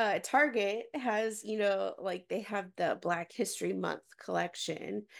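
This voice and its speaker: In a very clean recording with a silent background, a woman with an American accent uses an ordinary speaking voice at a medium pitch and a fairly slow pace. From Texas, Dallas suburbs. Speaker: nonprofit worker and mother. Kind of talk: casual interview chat.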